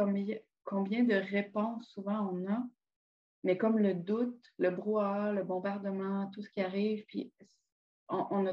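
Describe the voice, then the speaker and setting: A woman at medium pitch, somewhat breathy, with fairly even intonation and a fairly slow pace. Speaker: podcast host. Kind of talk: casual chat.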